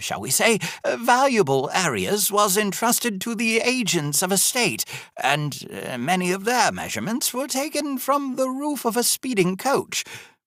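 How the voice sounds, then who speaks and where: A man puts on a character voice pitched high. He keeps a moderate pace. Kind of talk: audiobook narration. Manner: hesitant, rambling.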